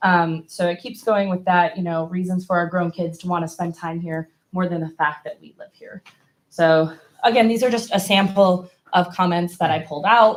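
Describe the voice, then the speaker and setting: Here is a woman with a plain, everyday voice, fairly low in pitch with fairly even intonation. She talks at a moderate pace with big swings in loudness. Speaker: survey presenter. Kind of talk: report presentation at school board meeting. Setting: public meeting.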